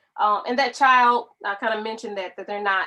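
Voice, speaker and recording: Bright and sharp in tone, a woman speaks with fairly even intonation. Her pace is moderate. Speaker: spoken word poet; medical professional. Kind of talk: casual talk to camera explaining a poem.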